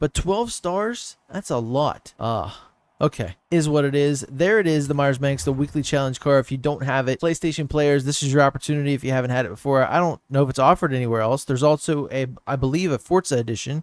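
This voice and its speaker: In a slight Southern accent, a man talks at a fairly quick pace and fairly high pitch with ordinary pitch variation, in a very clean recording with a silent background and a dry, close sound with no echo. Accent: slight southern twang. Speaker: gaming YouTuber. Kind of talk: gameplay commentary. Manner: casual, conversational.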